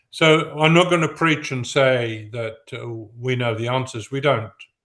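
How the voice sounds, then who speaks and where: With an English accent, the speaker has a bright, sharp tone and ordinary pitch variation against a quiet background. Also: man. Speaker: professor. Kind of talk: academic Q&A response. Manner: halting.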